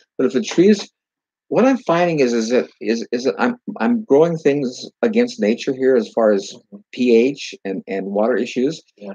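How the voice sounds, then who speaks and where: A man speaks in an American accent at a fairly high pitch, with very wide pitch swings and a dark, mellow tone. The sound is dry and close, with no echo. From California, US West. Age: 70s. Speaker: gardener and orchard grower. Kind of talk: casual live Q&A.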